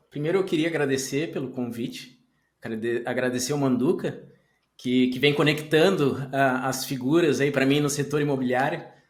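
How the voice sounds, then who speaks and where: Talking at a moderate pace, a man with a fairly high pitch uses ordinary pitch variation, and room echo can be heard. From southern Brazil, Pelotas (Rio Grande do Sul). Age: 40s. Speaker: tech entrepreneur, CEO. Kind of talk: podcast interview.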